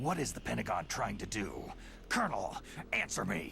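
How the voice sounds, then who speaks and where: Putting on a character voice, a man speaks at a moderate pace over clear background noise. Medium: video game. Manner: terse, gruff.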